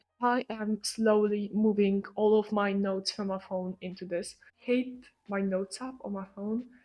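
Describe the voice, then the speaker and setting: With a non-native accent, a woman speaks at a medium pitch in a monotone, flat way. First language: not English. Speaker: lifestyle vlogger. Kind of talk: casual vlog talk to camera.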